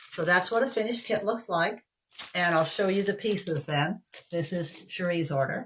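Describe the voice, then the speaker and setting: A woman with a plain, everyday voice, medium pitch for a woman, ordinary pitch variation and a moderate pace. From Canada. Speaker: craft kit seller. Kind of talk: product demonstration. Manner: casual, chatty.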